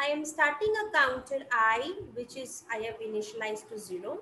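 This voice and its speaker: In a room with audible echo, a woman uses a raised, projected voice with very wide pitch swings at a moderate pace. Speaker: college lecturer. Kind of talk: lecture.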